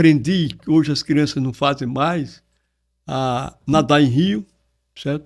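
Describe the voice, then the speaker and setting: Very slowly, a man talks in a fairly high voice. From Brazil, Alagoas (Porto Calvo). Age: 70s. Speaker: retired public prosecutor and writer. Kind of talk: podcast interview.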